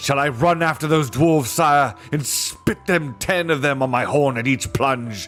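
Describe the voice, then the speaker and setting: Over faint background music, a man puts on a character voice pitched fairly high. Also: moderate pace. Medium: read story. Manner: formal, eager.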